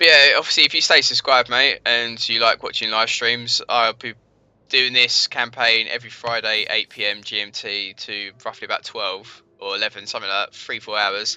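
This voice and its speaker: In a dry, close sound with no echo, a man with a London accent speaks at a moderate pace. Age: 20s. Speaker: gaming streamer. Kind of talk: live gameplay commentary. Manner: casual, thinking aloud.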